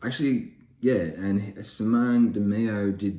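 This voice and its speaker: In an Australian accent, a man with a dark, mellow tone speaks amid audible room echo. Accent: Australian, broad. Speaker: comic book YouTuber. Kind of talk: casual haul video. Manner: casual, hesitant with many fillers.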